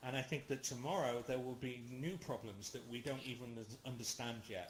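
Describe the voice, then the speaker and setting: This man's voice is somewhat breathy and medium in pitch, with ordinary pitch variation. He talks at a fairly quick pace, and audible room echo surrounds it. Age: 40s. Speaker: lecturer. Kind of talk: lecture with Q&A discussion. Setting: virtual reality platform. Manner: halting, many fillers.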